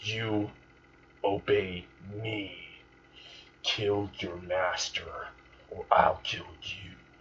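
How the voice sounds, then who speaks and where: A growling, put-on character voice from a man, fairly low in pitch, at a very slow pace with long, frequent pauses. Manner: menacing, powerful, full of rage.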